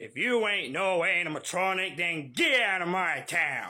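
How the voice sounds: A put-on character voice from a man, delivered very slowly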